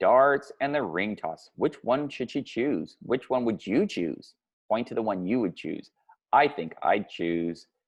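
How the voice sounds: Against a quiet background, this is a natural reading voice. The intonation is lively.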